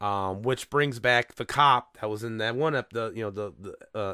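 Bright and sharp in tone, a man speaks at a moderate pace. The recording is very clean, with a silent background. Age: 40s. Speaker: podcast host. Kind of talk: casual chat. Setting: home recording with window open.

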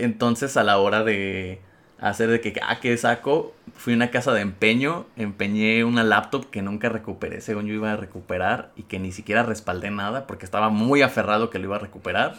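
The tone is bright and sharp, with a Mexican accent. Delivery is fairly quick, and the intonation fairly even. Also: man. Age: 20s. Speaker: podcast host, accountant. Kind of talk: casual chat.

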